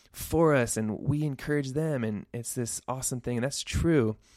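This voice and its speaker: A man's medium pitch with ordinary variation, moderate pace, on a very clean recording with a silent background. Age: 30s. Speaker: podcast host and youth pastor. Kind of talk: solo faith podcast monologue. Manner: partly unscripted, with fillers and pauses.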